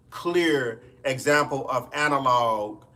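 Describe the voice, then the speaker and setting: This man has a Mississippi accent and a fairly high pitch. His tone is bright and sharp, with ordinary pitch variation. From US South, Mississippi Delta. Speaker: music producer and streamer. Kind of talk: live stream chat. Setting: home studio live stream.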